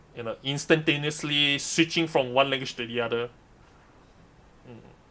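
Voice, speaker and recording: Speaking with a non-native accent at a moderate pace, the voice shows big swings in loudness. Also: man, fairly high pitch for a man. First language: Mandarin. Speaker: streamer and live interpreter. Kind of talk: live stream commentary. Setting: live stream. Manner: halting, self-correcting.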